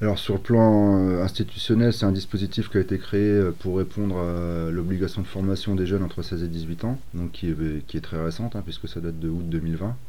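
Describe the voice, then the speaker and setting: A man speaks at a moderate pace in a very deep, low voice with a dark, mellow tone and ordinary pitch variation. Audible room echo is present. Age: 40s. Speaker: youth training coordinator. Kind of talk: interview. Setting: training centre premises. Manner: hesitant, many fillers.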